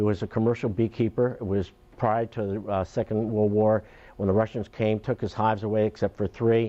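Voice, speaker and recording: Speaking fairly quickly in a flat monotone, a man with a Long Island accent has a fairly low pitch. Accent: New York (Long Island) American. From Long Island, New York. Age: 70s. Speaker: beekeeper. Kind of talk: talk to an audience. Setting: town hall symposium. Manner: halting, many fillers.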